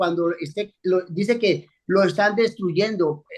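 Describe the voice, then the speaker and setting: A man with a high voice talks fairly slowly, his pitch moving in an ordinary way. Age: 70s. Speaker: pastor. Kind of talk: bible study discussion.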